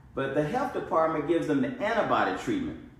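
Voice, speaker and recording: A man speaks with a Mississippi accent. The room echo is audible, and background noise is noticeable. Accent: US Southern (Mississippi). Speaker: doctor. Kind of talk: lecture. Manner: repetitive, emphatic.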